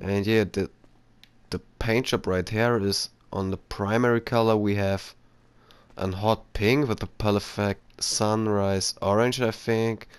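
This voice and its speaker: Very slowly, a man speaks in a fairly low, flat monotone. The recording is very clean, with a silent background. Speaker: gaming YouTuber. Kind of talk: gameplay commentary. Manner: halting.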